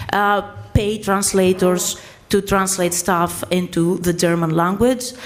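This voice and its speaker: Spoken in a Greek accent at a very slow pace, the voice keeps very even loudness and fairly even intonation over noticeable background noise. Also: woman, medium pitch for a woman. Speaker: writer. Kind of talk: panel discussion. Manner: halting.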